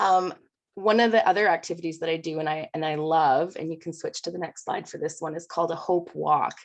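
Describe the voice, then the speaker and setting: A woman uses an ordinary speaking voice at a fairly quick pace. Her pitch is fairly low and her intonation fairly even. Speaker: primary school teacher. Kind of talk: panel presentation. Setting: video call.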